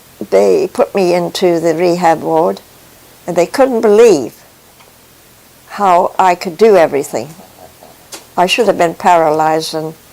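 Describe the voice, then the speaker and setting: Amid noticeable background noise, a woman speaks fairly slowly with lively intonation and long, frequent pauses. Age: 80s+. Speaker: faith testimony speaker. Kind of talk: testimony. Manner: halting.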